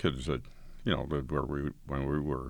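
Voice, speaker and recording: A man with an American accent talks in a relaxed tone, his very deep, low pitch carrying vocal fry. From northeastern Colorado, US. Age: 80s. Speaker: blind community member telling life story. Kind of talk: recorded interview, reminiscing. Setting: recording studio. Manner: conversational, relaxed, laughs.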